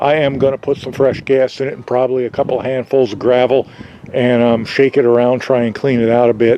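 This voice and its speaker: Noticeable background noise sits behind the audio. The man talks at a fairly quick pace. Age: 60s. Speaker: DIY hobbyist vlogger. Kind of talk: tutorial. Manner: casual, hesitant with fillers.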